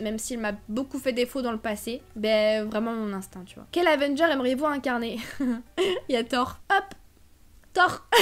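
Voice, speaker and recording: A woman with a high pitch speaks with lively intonation and big swings in loudness. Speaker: YouTuber. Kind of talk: casual vlog chat. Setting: home living room. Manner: fast.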